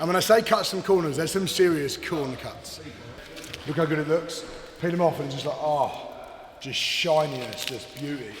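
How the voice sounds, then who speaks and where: There's noticeable background noise as a man talks at a fairly high pitch with ordinary pitch variation. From England. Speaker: car builder and vlogger. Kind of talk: casual vlog walkthrough. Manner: fast; animated. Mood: playful, joking. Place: workshop.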